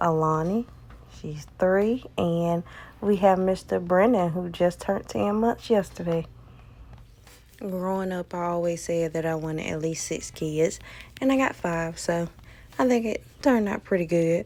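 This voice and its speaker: A woman with a rural Southern US accent speaks at a fairly low pitch and a fairly slow pace in a dark, mellow tone, using ordinary pitch variation and long, frequent pauses. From US South. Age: 30s. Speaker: nail artist. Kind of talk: casual vlog chat.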